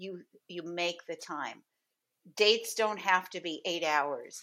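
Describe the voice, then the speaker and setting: A woman's bright, sharp tone at a fairly slow pace, fairly even in intonation, on a very clean recording with a silent background. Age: 60s. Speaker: dating coach. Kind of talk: casual interview chat.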